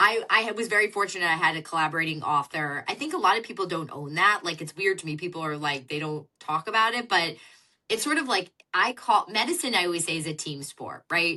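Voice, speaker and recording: A woman's fairly low voice, bright and sharp, with lively intonation, big swings in loudness and a fairly quick pace. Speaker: fertility doctor and author. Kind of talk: podcast interview.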